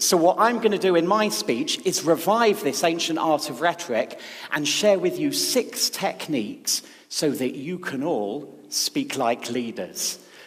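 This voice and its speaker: A man speaks at a fairly slow pace in a high voice, with very wide pitch swings. Noticeable background noise runs behind him. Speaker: speechwriter. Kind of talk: public talk. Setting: stage with audience.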